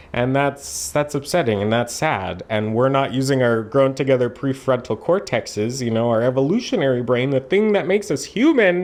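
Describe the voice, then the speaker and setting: In a Canadian accent, a man at a medium pitch talks at a moderate pace with lively intonation and hardly any pauses, over noticeable background noise. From Canada, Alberta. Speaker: reaction video host. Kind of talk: reaction commentary. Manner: animated.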